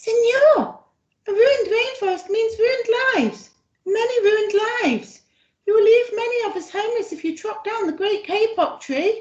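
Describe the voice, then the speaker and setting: A woman's put-on character voice, squeaky and at an extremely high pitch, at a moderate pace. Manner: piping, pleading.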